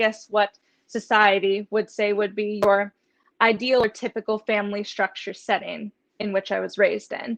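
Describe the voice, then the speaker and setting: A woman with an American accent talks at a moderate pace in a fairly high voice, using a normal speaking voice. The sound is dry and close, with no echo. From US, southwestern Pennsylvania near Pittsburgh. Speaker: veterinary student and author. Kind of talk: interview.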